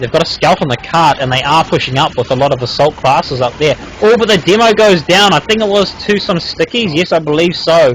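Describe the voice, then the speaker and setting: A man speaks at a moderate pace, his pitch swinging very widely. Noticeable background noise sits behind him. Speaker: game commentator. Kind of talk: live commentary. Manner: halting, many fillers.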